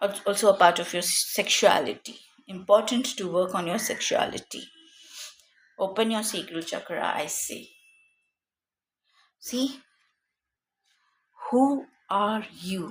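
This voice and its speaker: A woman's somewhat breathy voice at a fairly slow pace, with ordinary pitch variation and long, frequent pauses. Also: medium pitch for a woman, big swings in loudness. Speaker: tarot reader. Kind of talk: tarot reading.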